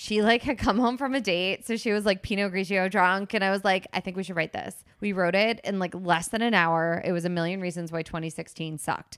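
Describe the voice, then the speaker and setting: A woman with an American accent speaks in a normal speaking voice at a fairly quick pace with hardly any pauses, medium pitch and ordinary pitch variation, on a very clean recording with a silent background. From New Jersey, Princeton. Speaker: comedian. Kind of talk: casual chat.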